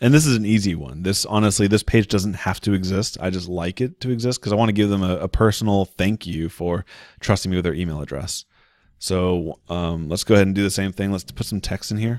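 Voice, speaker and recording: A man talks at a fairly quick pace and fairly low pitch, with ordinary pitch variation. The sound is dry with no echo, and the background is quiet. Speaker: online marketing tutorial creator. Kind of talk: screen-share tutorial. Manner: fast; casual, conversational. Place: home room. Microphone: studio mic.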